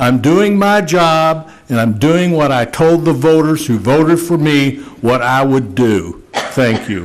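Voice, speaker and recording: Audible room echo surrounds a man speaking at a very slow pace with hardly any pauses. His pitch is fairly high and his intonation lively. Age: 60s. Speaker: mayor chairing city council meeting. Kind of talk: council meeting statement. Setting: public council meeting with audience. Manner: blunt, halting with fillers.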